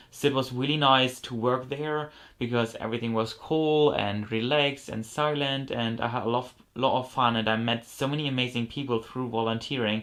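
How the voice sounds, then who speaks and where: A man with a German accent speaks at a medium pitch and a fairly quick pace, his intonation fairly even. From Germany. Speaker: model horse collector YouTuber. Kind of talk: haul video show-and-tell. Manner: casual, many fillers.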